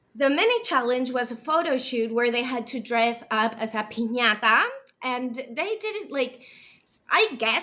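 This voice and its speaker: A woman with a non-native accent speaks fairly slowly at a high pitch, her tone bright, sharp and animated, with lively intonation. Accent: imperfect English, non-native feel. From US, then Spain from age nine. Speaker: TV show reviewer, video creator. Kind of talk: casual review monologue. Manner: animated, with fillers and restarts.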